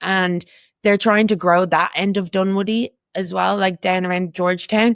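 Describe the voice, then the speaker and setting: A woman with an Irish accent speaks at a moderate pace in a medium pitch and a flat monotone, recorded dry and close with no echo, very clean, over a silent background. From Ireland. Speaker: community walking group co-founder. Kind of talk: casual chat.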